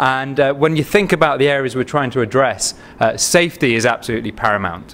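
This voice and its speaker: A man with a Manchester accent talks at a very fast pace. His pitch sits in the medium range, with ordinary variation. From northern England, Manchester. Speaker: biotech company CEO and physician. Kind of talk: investor pitch presentation.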